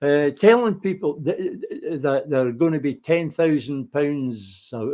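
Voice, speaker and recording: A man speaks with lively intonation at a fairly high pitch. His tone is dark and mellow. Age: 70s. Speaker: political commentator. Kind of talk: solo political monologue. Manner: halting, frequent repetitions and fillers.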